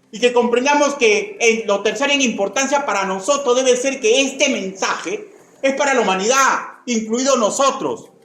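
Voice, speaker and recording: A man talks at an extremely high pitch and a moderate pace, with ordinary pitch variation. Room echo can be heard. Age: 60s. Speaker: pastor. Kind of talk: sermon. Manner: repetitive, emphatic.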